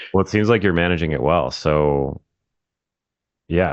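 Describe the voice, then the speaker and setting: Speaking at a moderate pace, a man with a very deep, low pitch uses ordinary pitch variation and shows vocal fry. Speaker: real estate marketing coach. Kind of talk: casual interview.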